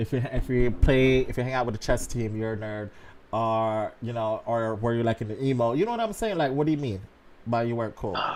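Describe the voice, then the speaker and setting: Speaking with a Jamaican accent, a man keeps a medium pitch and fairly even intonation. His pace is fairly quick. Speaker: dating advice streamer. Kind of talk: casual chat.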